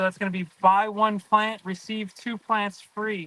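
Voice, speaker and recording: A raised, projected voice, bright and sharp in tone, with monotone, flat intonation and a dry, close sound with no echo. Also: man. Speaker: aquarium fish seller. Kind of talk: live stream sales talk. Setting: greenhouse.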